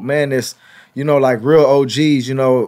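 A man is speaking. He keeps a moderate pace. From US West Coast, Los Angeles. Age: 30s. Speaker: podcast host, former football player. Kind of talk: casual interview.

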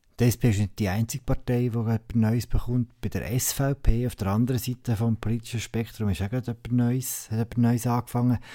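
A man talks at a fairly quick pace. His tone is dark and mellow, with fairly even intonation. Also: medium pitch for a man, very clean recording, silent background. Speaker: podcast host. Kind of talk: casual chat.

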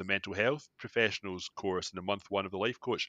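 A man with a Glasgow accent speaks in a fairly low pitch with ordinary pitch variation and a bright, sharp tone. The sound is dry and close with no echo, and the background is quiet. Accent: Scottish (Glasgow). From Scotland, Glasgow area. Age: 30s. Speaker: wellness app founder. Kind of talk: podcast interview. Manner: halting, many repetitions and fillers.

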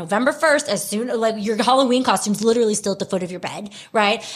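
A woman with an American accent speaks at a fairly quick pace in a plain, everyday voice, her fairly high pitch carried by lively intonation. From US South, Houston, Texas. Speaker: podcast co-host. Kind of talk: casual chat.

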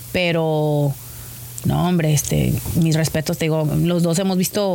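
A woman at a fairly low pitch, moderate pace and fairly even intonation, with noticeable background noise. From Mexico, Tijuana. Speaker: professional wrestler. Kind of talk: casual interview.

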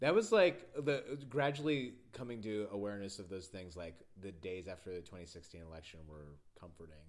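A man's fairly low voice at a moderate pace, with very wide pitch swings, big swings in loudness and audible room echo. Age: 30s. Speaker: podcast host. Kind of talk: casual chat; scripted narration. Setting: in person.

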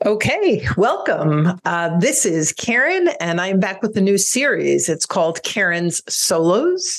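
A woman speaks at a very slow pace with hardly any pauses. Her loudness stays very even. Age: 60s. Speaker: divorce coach and podcast host. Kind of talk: solo podcast monologue.

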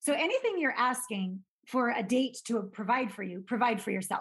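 An ordinary speaking voice, this woman talks at a moderate pace with a fairly high pitch and ordinary pitch variation. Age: 50s. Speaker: intimacy expert. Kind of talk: casual chat.

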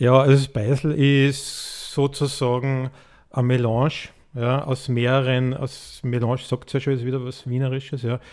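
On a very clean recording with a silent background, a man speaks in a flat monotone at medium pitch and a moderate pace. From Tyrol, Austria. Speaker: birdwatcher and conservationist. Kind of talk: interview.

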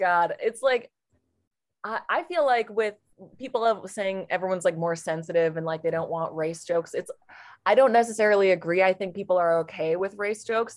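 A woman with an American accent speaks at a fairly quick pace in a plain, everyday voice. Her pitch is medium, with ordinary pitch variation. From Portland, Oregon. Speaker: comedian. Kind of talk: casual chat.

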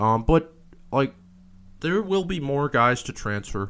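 This is a very clean recording with a silent background. A man talks at a moderate pace in an ordinary speaking voice. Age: 20s. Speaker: college football podcast host. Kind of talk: solo sports podcast commentary. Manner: frequent fillers (um, uh).

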